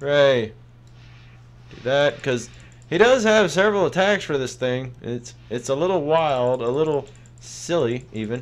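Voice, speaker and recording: A man speaks at a fairly slow pace with long, frequent pauses. His intonation is lively and his loudness swings widely. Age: 30s. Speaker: gaming YouTuber; gaming youtuber. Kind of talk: gameplay commentary. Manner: casual, rambling with fillers.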